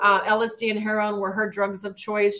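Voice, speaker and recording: This woman speaks at a medium pitch with an American accent. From El Paso, Texas. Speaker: author and entrepreneur. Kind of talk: interview.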